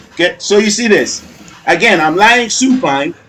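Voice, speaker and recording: Noticeable background noise sits behind a man speaking in an animated tone with lively intonation. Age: 50s. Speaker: fitness trainer. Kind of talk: workout video commentary.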